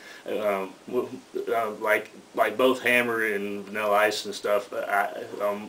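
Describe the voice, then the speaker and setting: A man with an Atlanta accent talks at a fairly low pitch and a fairly slow pace. His intonation is monotone and flat, with noticeable background noise. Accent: Southern US (Atlanta). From Atlanta, US South. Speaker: rapper. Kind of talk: radio interview. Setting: radio studio. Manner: halting, repeats words.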